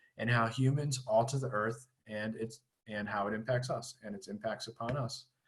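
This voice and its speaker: A man speaks at a fairly quick pace, his voice somewhat breathy, against a quiet background. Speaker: high school teacher. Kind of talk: presentation to parents on video call. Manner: fast.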